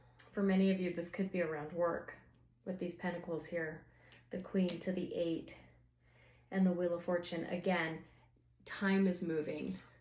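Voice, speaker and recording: The speaker goes at a moderate pace with monotone, flat intonation and long, frequent pauses, in a space with audible room echo. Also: woman, fairly low pitch for a woman. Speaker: tarot reader. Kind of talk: tarot reading to camera. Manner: conversational, filler-heavy.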